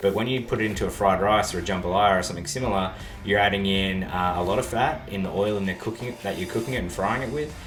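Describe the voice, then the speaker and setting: Over music in the background and audible room echo, a man with an Australian accent talks at a very fast pace in a fairly low pitch with ordinary pitch variation. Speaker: YouTuber reacting to a video. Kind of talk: video reaction commentary.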